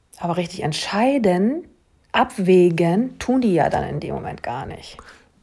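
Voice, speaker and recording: Very slow and somewhat breathy, a woman speaks at medium pitch in a dark, mellow tone. Her pitch swings very wide, with long, frequent pauses. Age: middle-aged. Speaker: hypnosis coach. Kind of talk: casual chat.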